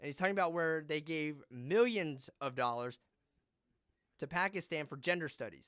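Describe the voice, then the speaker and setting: This man has an unremarkable speaking voice, fairly high in pitch with ordinary pitch variation, moving at a moderate pace in a very clean recording with a silent background. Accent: American. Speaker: podcast host. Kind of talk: casual chat.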